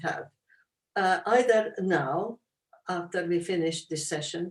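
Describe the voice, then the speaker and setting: With a Hungarian accent, a woman talks at a fairly slow pace. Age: 80s+. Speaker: Holocaust survivor, author. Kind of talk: interview Q&A.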